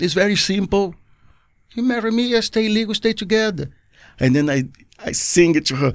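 A high-pitched man with lively intonation, a fairly quick pace, and long, frequent pauses. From Brazil, Rio de Janeiro. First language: Portuguese. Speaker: skydiver. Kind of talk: casual interview chat. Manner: animated, laughing often.

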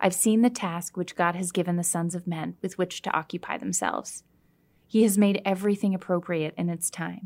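A woman with an ordinary speaking voice talks at a fairly quick pace with fairly even intonation. The recording is very clean and the background is silent. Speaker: podcast moderator. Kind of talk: reading aloud.

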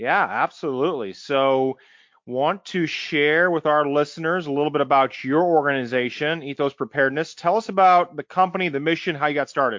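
This man has an ordinary speaking voice, fairly high in pitch with ordinary pitch variation, and he speaks at a fairly quick pace with an American accent. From US Midwest, small town near St. Louis. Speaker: podcast host. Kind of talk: interview.

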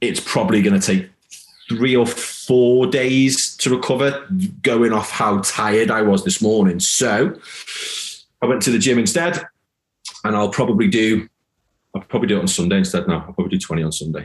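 Speech at a moderate pace with lively intonation, broken by long, frequent pauses. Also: man, medium pitch for a man. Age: 40s. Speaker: high performance coach. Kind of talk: casual interview.

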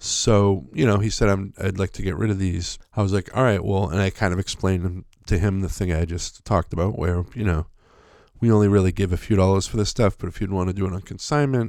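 A man with a normal speaking voice talks at a fairly quick pace and a fairly low pitch, with fairly even intonation. The recording is very clean with a silent background. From Massachusetts North Shore. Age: 50s. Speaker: podcast host. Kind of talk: solo storytelling monologue. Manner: casual, conversational with fillers.

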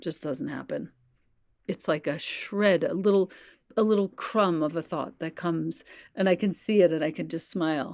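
In an unremarkable speaking voice, a woman talks at a moderate pace with fairly low pitch and ordinary pitch variation on a very clean recording with a silent background. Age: 50s. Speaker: yoga and meditation teacher, author. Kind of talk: casual interview chat.

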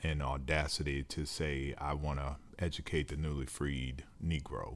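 The recording is very clean with a silent background, carrying a man's voice at a very deep, low pitch. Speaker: podcast host and co-founder of a higher education foundation. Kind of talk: casual interview conversation. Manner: uses many filler words, warm and conversational.

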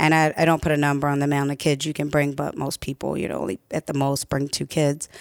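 Very fast and monotone, a woman talks at a very deep, low pitch, the sound dry and close with no echo on a very clean recording with a silent background. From Baltimore, Maryland. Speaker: fitness trainer and gym owner. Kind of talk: casual chat.

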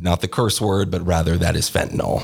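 On a very clean recording with a silent background, a man with an American accent speaks at a fairly quick pace in a very deep, low, somewhat breathy voice with fairly even intonation. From US Pacific Northwest, Oregon. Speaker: TV news journalist. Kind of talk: interview.

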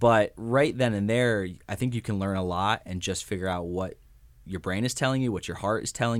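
The recording is very clean, with a silent background. A man with an ordinary speaking voice talks at a moderate pace and a fairly low pitch. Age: 20s. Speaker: university social media manager. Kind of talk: interview. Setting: studio.

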